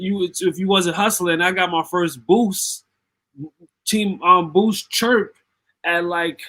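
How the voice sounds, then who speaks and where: A man speaks very slowly in a high pitch with a bright, sharp tone. His pitch varies in an ordinary way. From New York, Bronx; later Connecticut. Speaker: rapper. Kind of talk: casual interview chat.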